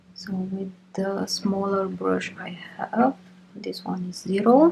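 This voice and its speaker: A woman speaks very slowly with big swings in loudness over noticeable background noise. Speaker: art tutorial creator. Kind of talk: tutorial.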